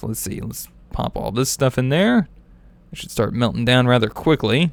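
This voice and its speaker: A man mumbles with big swings in loudness. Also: medium pitch for a man, ordinary pitch variation, moderate pace. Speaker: gaming youtuber. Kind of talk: let's play commentary. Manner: mumbling; casual, rambling with fillers.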